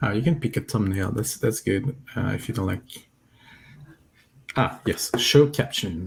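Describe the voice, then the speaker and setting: A man's medium-pitched voice with a French accent at a fairly slow pace, broken by long, frequent pauses. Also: lively intonation. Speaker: software company representative. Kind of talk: live coding stream tutorial.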